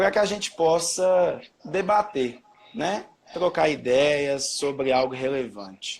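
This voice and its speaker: This man's voice sits fairly high for a man. His intonation is lively. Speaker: history teacher. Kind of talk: live-stream educational chat. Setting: Instagram live video stream. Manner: loud. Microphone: own voice echoing back through the stream.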